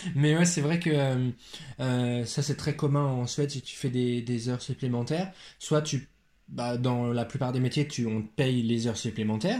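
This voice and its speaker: A man's dark, mellow voice at a medium pitch, fairly slow pace and ordinary pitch variation, on a very clean recording with a silent background. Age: 20s. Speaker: teacher and podcast co-host. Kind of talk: casual chat.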